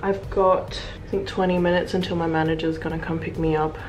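A woman with an Australian accent speaks at a fairly low pitch with vocal fry, over clear background noise.

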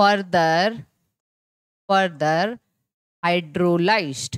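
Against a quiet background, a woman speaks at a very slow pace in a dry sound with no echo. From India. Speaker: biology teacher. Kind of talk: online lecture. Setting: live online class. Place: classroom. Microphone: headset.

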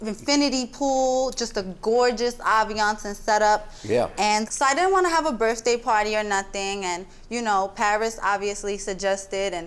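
A woman speaks at a moderate pace with hardly any pauses and ordinary pitch variation. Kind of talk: courtroom testimony, casual. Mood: playful, confident, animated. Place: stage.

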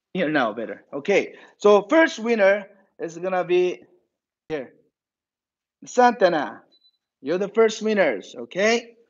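Speaking with a Korean accent, a man uses a high pitch with very wide swings. He talks at a fairly slow pace with long, frequent pauses. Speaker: martial arts instructor. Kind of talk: online class announcement.

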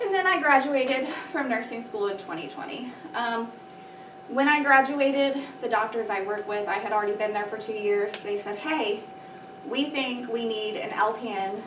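A woman's fairly high voice at a moderate pace, with ordinary pitch variation and noticeable background noise. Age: 30s. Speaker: allergy nurse. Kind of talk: presentation to students. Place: classroom. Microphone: camera far.

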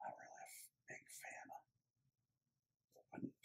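A man is whispering. His words come out hushed. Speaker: Lego builder. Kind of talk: ASMR build narration. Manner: whispered. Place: home room.

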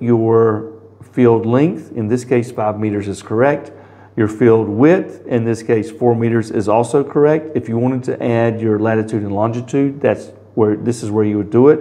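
In a dark, mellow tone, a man speaks at a moderate pace with fairly even intonation. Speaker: product demonstrator. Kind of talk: tutorial. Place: office.

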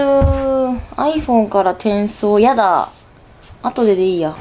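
Over music in the background, a woman speaks very slowly with lively intonation. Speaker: vlogger. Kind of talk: casual vlog chat. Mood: excited, impressed. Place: home room. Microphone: camera far.

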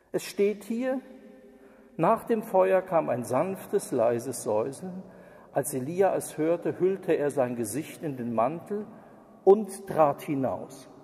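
With noticeable background noise, a man with a high pitch speaks at a very slow pace, his very wide pitch swings broken up by long, frequent pauses. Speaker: preacher. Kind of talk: sermon. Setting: church. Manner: formal, earnest, lecturing with pointed criticism.

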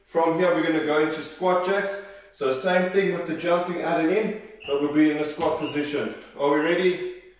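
Over music in the background and strong room echo, a man with a high pitch talks at a moderate pace with ordinary pitch variation. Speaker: fitness instructor. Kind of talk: workout instruction. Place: home room. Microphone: camera far.

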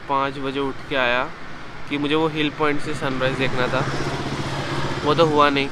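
Against clear background noise, a man speaks at a moderate pace with a fairly high pitch.

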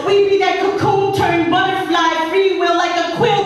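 A woman's extremely high pitch with fairly even intonation at a moderate pace, in strong room echo. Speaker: spoken word poet. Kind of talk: spoken word poetry performance.

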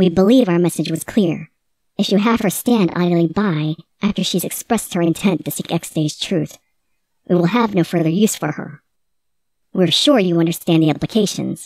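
A robotic, put-on character voice at middle pitch moves at a moderate pace. The recording is very clean, with a silent background. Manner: cold, threatening.

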